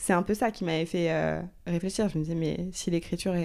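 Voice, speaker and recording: In a very clean recording with a silent background, a woman speaks with a dark, mellow tone and fairly even intonation. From Normandy, France (Rouen). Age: 30s. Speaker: screenwriter. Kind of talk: interview. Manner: hesitant, many fillers.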